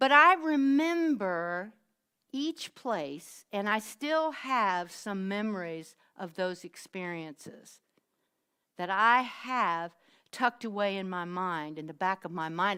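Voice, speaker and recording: A woman with a strong Southern US accent speaks at a very slow pace in a bright, sharp tone with very wide pitch swings. The recording is very clean, with a silent background. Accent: deep Southern US. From US South. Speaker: minister. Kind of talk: sermon.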